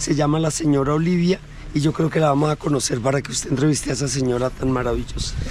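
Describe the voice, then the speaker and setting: Over noticeable background noise, a man with a Colombian accent speaks at a very fast pace and fairly high pitch with fairly even intonation. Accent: sweet Colombian. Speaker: local resident and guide. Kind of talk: casual chat.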